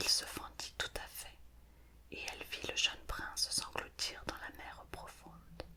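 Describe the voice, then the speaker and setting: Fairly slow whispering in a calm tone, with noticeable background noise. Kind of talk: fairy tale reading. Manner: whispered; soft, calm.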